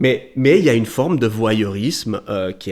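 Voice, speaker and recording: A very clean recording, silent background, and ordinary pitch variation. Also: man. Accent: Vaud. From Switzerland, Valais, grew up in Vaud. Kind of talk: podcast interview. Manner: hesitant, many repetitions.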